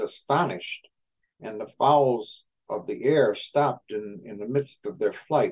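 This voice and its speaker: Speaking fairly slowly, a man with a normal speaking voice keeps a medium pitch and ordinary pitch variation. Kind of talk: radio host patter. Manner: measured, formal broadcaster delivery with frequent 'uh' fillers.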